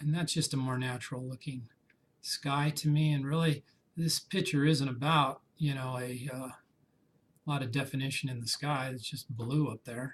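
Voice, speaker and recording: A man speaks at a moderate pace with a fairly high pitch. His voice is somewhat breathy, and his intonation fairly even. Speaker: photography instructor. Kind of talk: tutorial. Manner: casual.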